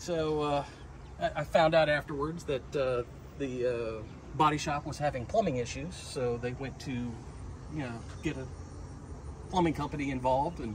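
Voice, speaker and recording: A man's somewhat breathy voice at a moderate pace, with long, frequent pauses, ordinary pitch variation and light background noise. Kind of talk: casual storytelling. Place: street. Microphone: phone near.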